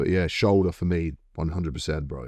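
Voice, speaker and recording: A man talks at a fairly quick pace in a very deep, low voice with vocal fry and ordinary pitch variation. The recording is very clean, with a silent background. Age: 30s. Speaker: MMA fighter. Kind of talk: casual chat. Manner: animated.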